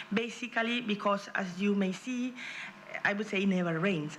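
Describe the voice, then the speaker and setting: A woman speaks with a Spanish accent at medium pitch. Audible room echo and noticeable background noise surround her. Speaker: regional politician. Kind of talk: conference presentation. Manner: fast; halting.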